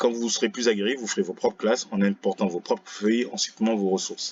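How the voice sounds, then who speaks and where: A man at a very fast pace. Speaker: teacher. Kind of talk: tutorial. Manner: casual, relaxed.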